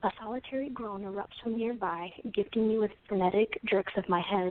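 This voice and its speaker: A woman speaks quietly at a medium pitch, keeping her intonation fairly even. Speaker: poet. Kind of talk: poetry reading.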